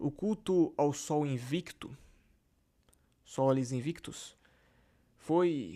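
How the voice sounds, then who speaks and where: A dark, mellow voice speaks at a very slow pace with ordinary pitch variation and long, frequent pauses. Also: man, fairly high pitch for a man. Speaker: religious history YouTuber. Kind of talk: casual explanatory talk. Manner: halting.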